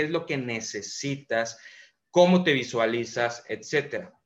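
With ordinary pitch variation, a plain, everyday voice is heard against a quiet background. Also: man. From Mérida, Yucatán, Mexico. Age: 30s. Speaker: entrepreneur and motivational speaker. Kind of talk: motivational monologue.

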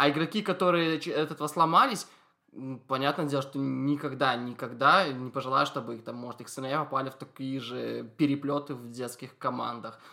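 Fairly quick and fairly high-pitched, a man speaks in a bright, sharp tone with ordinary pitch variation and big swings in loudness. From Belarus, Soligorsk. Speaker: podcast host. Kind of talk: casual chat.

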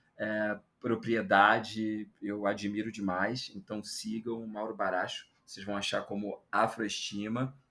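Speaking at a very slow pace, a man uses a medium pitch, fairly even intonation and a bright, sharp tone. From Brazil, Rio de Janeiro. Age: 30s. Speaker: journalist, anthropologist and content creator. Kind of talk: casual interview chat.

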